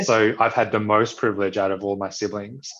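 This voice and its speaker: A man talks at a fairly quick pace with an Australian accent. His pitch is fairly low. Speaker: social entrepreneur and physiotherapist. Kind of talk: interview conversation. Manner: hesitant, many fillers.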